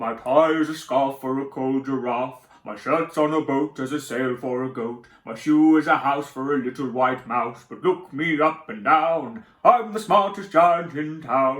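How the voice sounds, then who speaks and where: A put-on character voice from a man, fairly high in pitch, with hardly any pauses. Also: moderate pace. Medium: read story. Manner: cheerful, warm.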